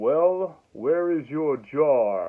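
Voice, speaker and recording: The put-on character voice is loud and booming. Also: man. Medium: solo performance. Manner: condescending, sighing, sarcastic.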